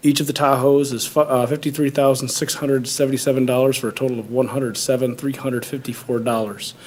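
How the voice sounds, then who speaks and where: With hardly any pauses, a man speaks very fast in a medium pitch and a monotone, flat intonation, with noticeable background noise behind him. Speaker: police department official. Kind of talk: public meeting presentation. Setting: township board meeting. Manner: halting, many fillers.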